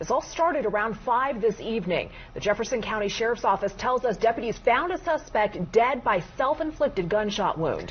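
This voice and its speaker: Lively in intonation, a woman with a fairly high pitch speaks at a moderate pace amid noticeable background noise. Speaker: news anchor. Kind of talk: live TV news broadcast. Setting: studio. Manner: calm, composed, authoritative.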